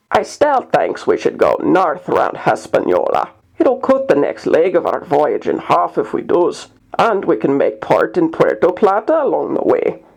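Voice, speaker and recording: This is a gruff, put-on character voice. It moves along at a moderate pace. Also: man, extremely high pitch for a man. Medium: read story. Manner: argumentative, dismissive, rough ungrammatical speech.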